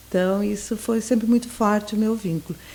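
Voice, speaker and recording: A woman's fairly high, somewhat breathy voice at a moderate pace. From southern Brazil, Santa Vitória do Palmar border region. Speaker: sociologist, former university lecturer. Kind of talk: casual interview chat.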